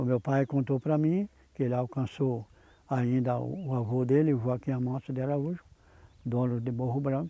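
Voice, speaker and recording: A man speaks with a fairly high pitch and a dark, mellow tone, his intonation fairly even. The sound is dry and close with no echo, in a very clean recording over a silent background. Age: 80s+. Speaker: elderly local resident, descendant of farm founder. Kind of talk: documentary interview testimony.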